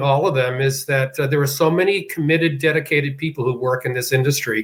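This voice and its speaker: Speaking with an American accent, a man with a fairly high, somewhat breathy voice keeps his intonation fairly even. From Boston, US. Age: 70s. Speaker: senior living executive. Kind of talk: interview.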